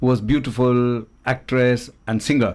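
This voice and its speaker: A medium-pitched man talks at a moderate pace. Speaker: doctor and radio show host. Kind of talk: casual chat. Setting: studio. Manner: loud; animated.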